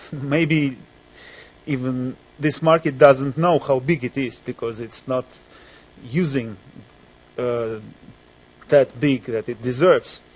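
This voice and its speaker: With a Russian accent, a man speaks at a very slow pace with long, frequent pauses, medium pitch and ordinary pitch variation. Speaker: music journalist. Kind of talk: panel discussion. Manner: halting.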